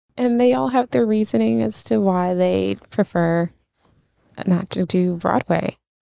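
A woman speaks at a fairly slow pace with a fairly low pitch, lively intonation, and a dark, mellow tone. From Brooklyn, New York. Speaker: theater education manager. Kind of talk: interview.

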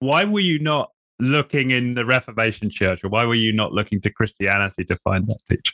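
A man talks in an ordinary speaking voice at a medium pitch. His pitch varies an ordinary amount and his loudness stays very even. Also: fairly quick pace. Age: 40s. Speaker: podcast host. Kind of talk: interview.

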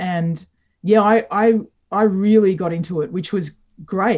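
Speaking in an Australian accent, a woman with a somewhat breathy, medium-pitched voice talks at a moderate pace with fairly even intonation. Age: 40s. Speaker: singer-songwriter. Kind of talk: interview. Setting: remote call from home.

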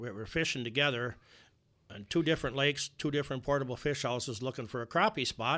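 With an Upper Midwest accent, a man speaks in a bright, sharp tone with ordinary pitch variation on a very clean recording with a silent background. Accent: Upper Midwest American. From US Midwest. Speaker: inventor. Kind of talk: interview. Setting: studio.

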